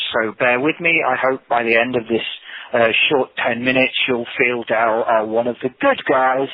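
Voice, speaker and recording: Monotone and flat, a man's medium-pitched voice keeps a moderate pace and very even loudness. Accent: English. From England. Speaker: tech company program manager. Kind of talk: webinar presentation. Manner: halting, many repetitions.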